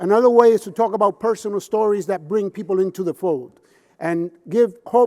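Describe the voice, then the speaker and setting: A man with a Puerto Rican accent speaks at a moderate pace in a passionate tone, with ordinary pitch variation. The sound is dry and close with no echo. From Puerto Rico. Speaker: addiction counselor and public speaker. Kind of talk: conference keynote speech. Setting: conference stage with audience. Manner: passionate, impassioned.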